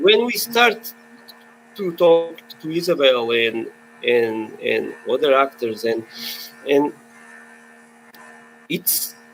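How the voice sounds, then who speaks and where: Over noticeable background noise, a man with a Portuguese accent speaks very slowly in a high pitch, with very wide pitch swings and long, frequent pauses. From Portugal. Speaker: filmmaker. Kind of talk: webinar panel discussion. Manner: halting.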